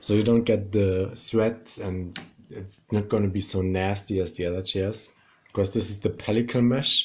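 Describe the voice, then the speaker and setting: Somewhat breathy and monotone with flat intonation, the voice keeps a moderate pace in a very clean recording with a silent background. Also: man, fairly low pitch for a man. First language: not English. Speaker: YouTuber reviewing his chair. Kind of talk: casual product review. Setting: at home in his apartment. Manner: hesitant, many fillers.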